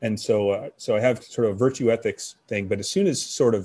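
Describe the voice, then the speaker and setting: A man with an American accent talks very fast in a dark, mellow tone at a medium pitch, his pitch varying in an ordinary way. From US, army brat. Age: 50s. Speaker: former national security official. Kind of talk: interview.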